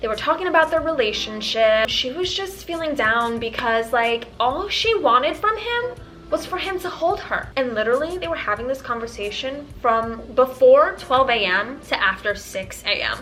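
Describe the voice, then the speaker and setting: With music playing behind her, a woman talks in an animated tone at a high pitch, her voice swinging very widely up and down at a moderate pace with hardly any pauses. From Tanzania. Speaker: vlogger. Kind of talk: storytime vlog.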